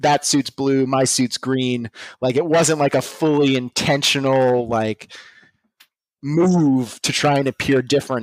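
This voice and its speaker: With an American accent, a man talks in an unremarkable speaking voice at a medium pitch with fairly even intonation. The sound is dry and close, with no echo. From Pittsburgh area, Pennsylvania. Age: 30s. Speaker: vintage clothing dealer. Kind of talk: casual interview. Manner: many fillers and restarts.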